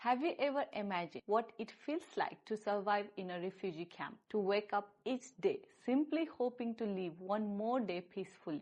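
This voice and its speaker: Here is a normal speaking voice: a woman with a fairly high pitch. She keeps a moderate pace, and her intonation is lively. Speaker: podcast host. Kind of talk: show introduction.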